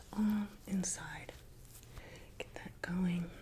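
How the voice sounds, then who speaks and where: Whispering in a calm tone at a very slow pace, a woman speaks over noticeable background noise. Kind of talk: ASMR massage roleplay guiding the listener. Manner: soft-spoken, calm.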